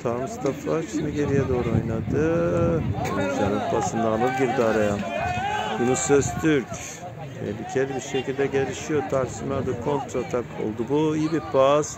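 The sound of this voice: Medium pitch from a man at a moderate pace, with ordinary pitch variation and clear background noise.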